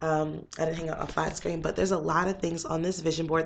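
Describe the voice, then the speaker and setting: The intonation stays monotone and flat. Noticeable background noise runs underneath. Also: woman. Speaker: motivational vlogger. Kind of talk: casual vlog talk. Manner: fast.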